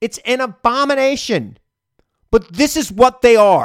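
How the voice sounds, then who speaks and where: A man with an American accent speaks at a fairly slow pace in an extremely high pitch. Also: dry, close sound with no echo. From US Northeast, Long Island. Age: 40s. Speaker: political podcast host. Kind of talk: political commentary; interview.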